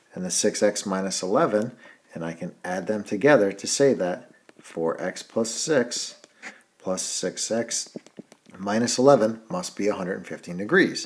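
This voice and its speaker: An unremarkable speaking voice moves at a moderate pace with lively intonation. Its loudness swings widely. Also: man, fairly low pitch for a man. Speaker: math teacher. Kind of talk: tutorial.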